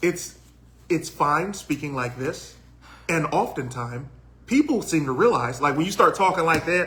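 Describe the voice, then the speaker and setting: Speaking at a moderate pace with a Southern US accent, a man uses a fairly high pitch and ordinary pitch variation. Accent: country twang, Southern. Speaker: podcast co-host, voice actor. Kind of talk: casual chat.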